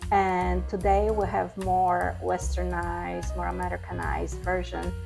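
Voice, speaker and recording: Over music in the background, a woman speaks at a very deep, low pitch with ordinary pitch variation. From Europe. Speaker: home cook. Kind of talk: cooking demonstration.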